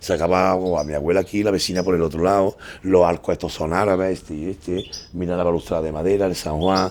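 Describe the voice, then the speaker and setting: A man with a very deep, low voice speaks very fast in a flat monotone. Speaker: patio owner, construction worker. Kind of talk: casual guided tour.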